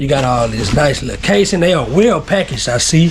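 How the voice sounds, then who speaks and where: A fairly high-pitched man with an American accent, lively intonation and a moderate pace amid noticeable background noise. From Texas. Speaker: YouTuber. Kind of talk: product unboxing video. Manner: casual, laid-back.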